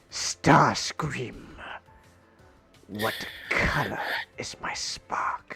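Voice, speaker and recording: A raspy, put-on character voice with a low-to-middle pitch. It moves at a very slow pace with long, frequent pauses over music in the background. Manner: sniveling, imperious.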